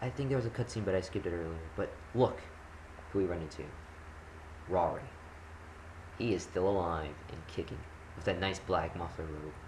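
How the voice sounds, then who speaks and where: With audible room echo, a man with a very deep, low pitch talks at a fairly quick pace with ordinary pitch variation and long, frequent pauses. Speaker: gaming commentator. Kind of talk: gameplay commentary. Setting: recording at home. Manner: loud; casual, rambling with fillers.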